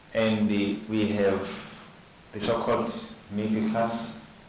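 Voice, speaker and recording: A man's fairly low voice amid noticeable background noise and audible room echo. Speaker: seminar moderator. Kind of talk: panel introduction speech.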